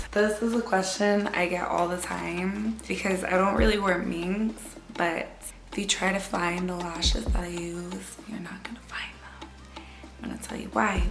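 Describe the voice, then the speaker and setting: Whispering at a moderate pace with big swings in loudness, a woman is heard through audible room echo and noticeable background noise. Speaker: beauty vlogger. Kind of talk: casual chat.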